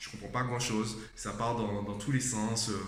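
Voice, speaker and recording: Over noticeable background noise and audible room echo, a man talks at a fairly quick pace. His pitch is medium, with ordinary variation. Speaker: vlogger and tutor. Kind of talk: casual vlog talk. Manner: conversational, addressing viewer directly.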